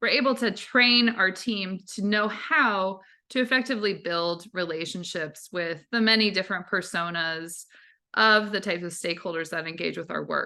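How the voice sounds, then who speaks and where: A woman talks in a bright, sharp tone at a moderate pace against a quiet background. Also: medium pitch for a woman, ordinary pitch variation. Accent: American. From New Jersey. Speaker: fundraising course instructor. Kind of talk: online class lecture.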